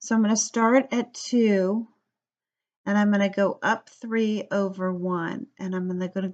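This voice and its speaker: Ordinary pitch variation and a fairly slow pace in a plain, everyday voice. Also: woman. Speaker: math teacher. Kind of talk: tutorial.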